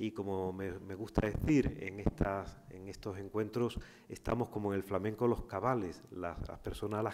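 In an unremarkable speaking voice, a man speaks at a moderate pace. His pitch is fairly low, with fairly even intonation. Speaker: university professor and event organizer. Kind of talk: formal welcome speech. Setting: lecture room. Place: hall. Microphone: podium.

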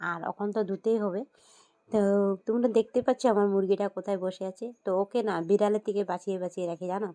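The tone is dark and mellow at a very fast pace. The sound is dry and close, with no echo. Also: woman.

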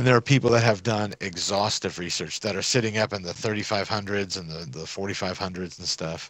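A man with a normal speaking voice, fairly low in pitch with ordinary variation, at a fairly quick pace with hardly any pauses and big swings in loudness. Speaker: gamer. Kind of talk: casual gaming chat with friends.

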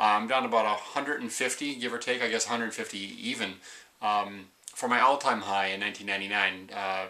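A man speaks in a normal speaking voice. His pitch sits fairly low, with fairly even intonation. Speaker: weight-loss surgery vlogger. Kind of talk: casual vlog chat. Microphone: webcam.

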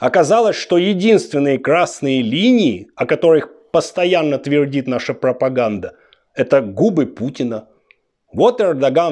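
A man talks at a very slow pace, his pitch swinging very widely. The background is quiet. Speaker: political commentator. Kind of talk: satirical political monologue. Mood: sarcastic, mocking. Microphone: lapel.

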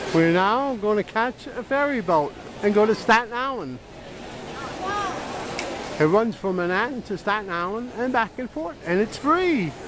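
Long, frequent pauses break up the speech, heard dry with no echo over noticeable background noise. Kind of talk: casual vlog chat. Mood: playful, joking. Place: station. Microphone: phone near.

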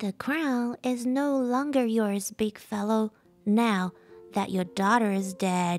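With faint music in the background, a woman uses a put-on character voice at a fairly high pitch and a fairly slow pace. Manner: squawking, taunting.

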